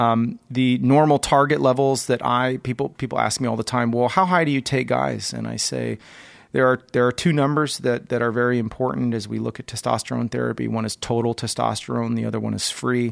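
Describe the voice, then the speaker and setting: The sound is very clean, with a silent background. A man speaks at a fairly quick clip. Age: 40s. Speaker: physician podcast host. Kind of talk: solo educational monologue. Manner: many filler words, hesitant.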